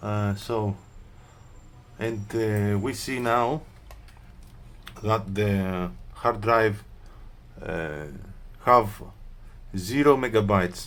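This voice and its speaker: Speaking very slowly with long, frequent pauses, a man uses a fairly low pitch and ordinary pitch variation. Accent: Greek. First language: Greek. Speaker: laptop repair technician. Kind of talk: tutorial. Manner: hesitant, many fillers.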